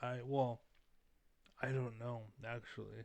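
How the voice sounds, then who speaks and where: A soft-spoken man at medium pitch, fairly slow and monotone, with a flat delivery over a quiet background. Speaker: YouTuber giving commentary. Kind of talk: casual monologue rant. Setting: at home with family nearby. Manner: soft-spoken, talking quietly; halting, many fillers.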